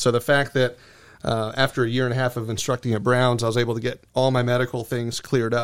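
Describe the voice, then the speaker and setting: With a monotone, flat intonation, a man with an American accent speaks at a very fast pace. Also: medium pitch for a man, very clean recording, silent background. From US, Florida (Venice, Sarasota County). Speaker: seaplane flight school owner and pilot examiner. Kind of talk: casual interview.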